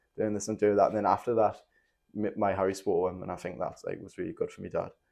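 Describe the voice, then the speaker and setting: A man in a strong Geordie accent at a very fast pace, with big swings in loudness. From northern England, Newcastle (moved from Nottingham at five). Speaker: former MMA fighter turned musician. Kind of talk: casual podcast interview, telling life story. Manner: casual, many fillers and false starts.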